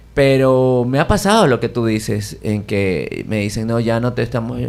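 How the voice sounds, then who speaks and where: A man speaking at a fairly slow pace. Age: 60s. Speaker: jazz pianist. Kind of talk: radio interview.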